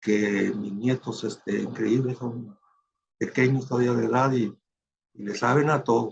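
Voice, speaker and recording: A man with medium pitch speaks at a fairly slow pace, somewhat breathy. His intonation stays fairly even, broken by long, frequent pauses. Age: 70s. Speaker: retired physician. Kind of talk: lecture. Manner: halting, many fillers.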